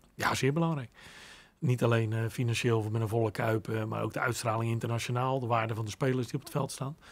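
His words come out at a very fast pace. A man's intonation holds fairly even throughout. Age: 50s. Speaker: son of a former footballer; guest. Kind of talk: interview. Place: studio. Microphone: studio mic.

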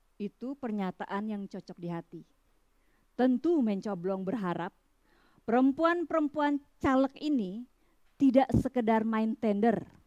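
Fairly slow, lively speech in a dark, mellow tone with big swings in loudness over a quiet background. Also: woman, fairly high pitch for a woman. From Bali, Indonesia; Indonesia. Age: 50s. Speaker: writer. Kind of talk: reading aloud. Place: garden.

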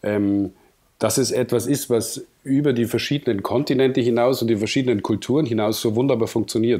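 A man with a southern German accent, medium in pitch, dark and mellow in tone, at a fairly quick pace with fairly even intonation and very even loudness, on a very clean recording against a silent background. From southern Germany, Munich. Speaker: cinematographer. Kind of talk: podcast interview. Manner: hesitant, many fillers.

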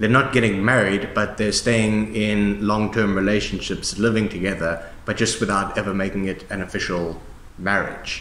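A man speaks with fairly low pitch. Audible room echo surrounds his voice. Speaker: discussion host. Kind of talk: conversational explanation. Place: hall.

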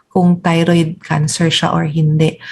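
A woman speaks fairly slowly in a somewhat breathy voice. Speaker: endocrinologist. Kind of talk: medical interview. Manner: polite, formal.

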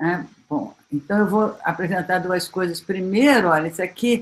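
A woman speaks with ordinary pitch variation. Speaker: history professor. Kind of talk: academic panel talk. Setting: video call. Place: home room. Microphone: webcam.

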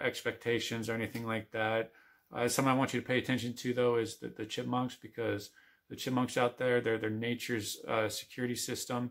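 A man's monotone, flat delivery at a moderate pace. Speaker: outdoor vlogger. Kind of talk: casual vlog chat. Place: home room. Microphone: phone near.

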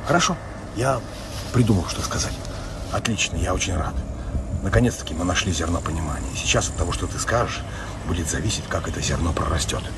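Loud noise fills the background as a man rattles on at a very fast pace. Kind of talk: comedic acted dialogue. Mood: ironic, confrontational. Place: open country. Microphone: phone near.

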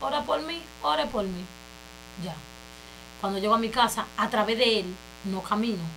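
A woman talks at a moderate pace, stopping often for long pauses. Light background noise sits behind her. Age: 20s. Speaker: church member giving testimony; interview guest. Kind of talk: testimony. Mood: earnest, emotional testimony. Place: studio.

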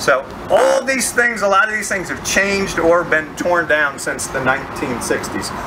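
Someone talks at a moderate pace against noticeable background noise. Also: man. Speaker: walking tour guide. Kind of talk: guided tour narration. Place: street. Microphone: handheld.

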